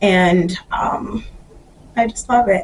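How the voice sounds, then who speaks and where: Very slowly, a female voice talks through noticeable background noise. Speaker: fashion YouTuber. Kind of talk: product review vlog. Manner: casual, frequent fillers.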